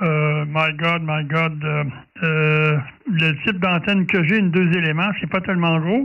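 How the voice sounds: At a fairly slow pace, a man with a fairly high pitch speaks with little pitch movement.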